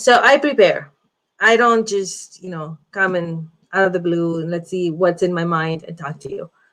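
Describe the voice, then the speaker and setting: A woman speaks with a non-native accent. Her loudness shifts a great deal. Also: fairly low pitch for a woman, ordinary pitch variation, moderate pace. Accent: has a foreign. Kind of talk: casual live video talk.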